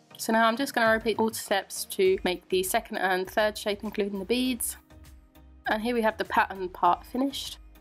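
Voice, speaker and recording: Music plays in the background as a woman talks at a fairly quick pace. Her pitch is fairly high and her intonation fairly even. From England. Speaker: macrame crafter. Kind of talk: craft tutorial voiceover.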